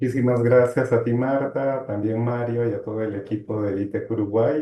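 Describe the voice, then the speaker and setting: A man's medium-pitched, somewhat breathy voice with a dark, mellow tone, fairly even intonation, and a moderate pace. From Peru, Arequipa. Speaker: human rights lawyer. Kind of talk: interview.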